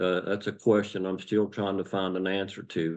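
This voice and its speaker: A man with an Appalachian accent speaks in a fairly low voice. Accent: Appalachian American. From West Virginia, USA. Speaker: retired police officer and former coal miner. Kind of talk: interview answer.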